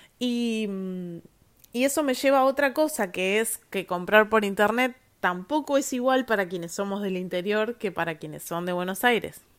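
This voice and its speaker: Speaking in a Patagonian accent at a moderate pace, a woman uses a fairly high pitch and lively intonation, recorded very cleanly against a silent background. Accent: Argentine Spanish (Patagonian). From Argentina, Viedma, Río Negro (Patagonia). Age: 30s. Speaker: podcast host, lawyer. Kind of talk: solo monologue podcast. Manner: casual with frequent fillers and repetitions.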